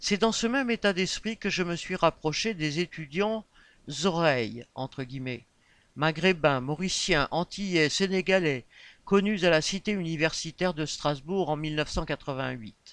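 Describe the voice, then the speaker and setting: The intonation is lively and the pace fairly slow. The background is quiet. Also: man, high pitch for a man. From Réunion. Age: 50s. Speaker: election candidate. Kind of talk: campaign statement. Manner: formal.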